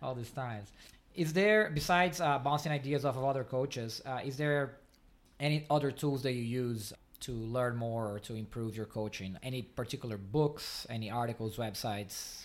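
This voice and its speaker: A man speaks at a medium pitch with a Portuguese accent. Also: ordinary pitch variation, moderate pace, very clean recording, silent background. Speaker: podcast host, swim coach. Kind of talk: interview conversation. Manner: halting, with frequent fillers.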